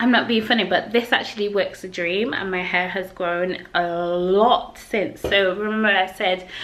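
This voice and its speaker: This woman has a Yorkshire accent and a medium pitch. Her intonation stays fairly even. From Yorkshire, England. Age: young. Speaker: English teacher and vlogger. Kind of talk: casual talk to camera. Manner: outgoing, chatty.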